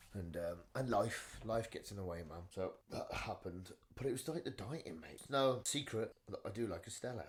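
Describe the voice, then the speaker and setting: Somewhat breathy, a man speaks at a moderate pace with lively intonation, big swings in loudness, and hardly any pauses, in a very clean recording with a silent background. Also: medium pitch for a man. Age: 40s. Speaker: retired MMA fighter, boxer. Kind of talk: casual chat.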